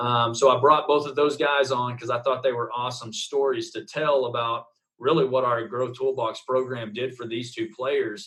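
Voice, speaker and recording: With an Oklahoma accent, a man talks at a medium pitch and a moderate pace. His intonation is fairly even, and he hardly pauses. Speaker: baseball coach. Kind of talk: interview answer. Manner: casual, hesitant fillers.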